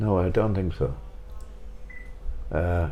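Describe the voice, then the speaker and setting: A man with a Waterford accent speaks at a fairly slow pace, with ordinary pitch variation. His tone is dark and mellow, with vocal fry. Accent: Waterford Irish. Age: 80s+. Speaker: retired showband pianist. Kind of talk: casual chat.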